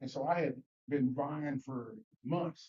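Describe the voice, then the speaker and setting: Somewhat breathy, a man with a Mississippi accent speaks at a fairly high pitch with ordinary pitch variation. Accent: Southern US (Mississippi). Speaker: Sunday school teacher. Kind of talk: Bible study class discussion. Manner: halting, many repetitions and fillers.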